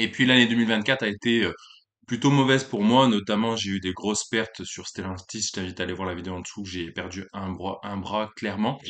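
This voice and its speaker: In a quiet background, a man talks at a fairly quick pace with a fairly low pitch and fairly even intonation. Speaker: YouTuber, amateur stock investor. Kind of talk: casual vlog monologue. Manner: hesitant with many fillers.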